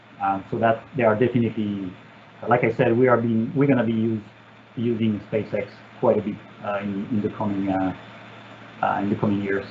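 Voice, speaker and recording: A man with a French accent, fairly low-pitched, at a fairly quick pace with monotone, flat intonation and long, frequent pauses. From France. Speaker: satellite engineer. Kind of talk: Q&A session. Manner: halting, many fillers.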